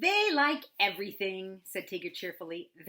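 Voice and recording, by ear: The words are read aloud in a natural voice.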